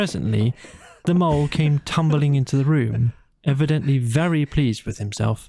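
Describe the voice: A man's medium-pitched voice with vocal fry, a dark, mellow tone and ordinary pitch variation. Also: moderate pace.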